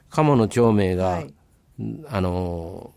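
This man speaks with a Kansai accent. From Kobe area, Japan. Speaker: local historian, former history teacher. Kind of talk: radio interview.

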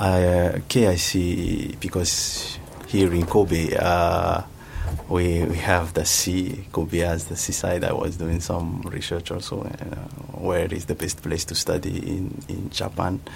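Over noticeable background noise and audible room echo, a man talks very slowly in a very deep, low voice with fairly even intonation. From Madagascar. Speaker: master's student in IT. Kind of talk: radio interview. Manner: halting.

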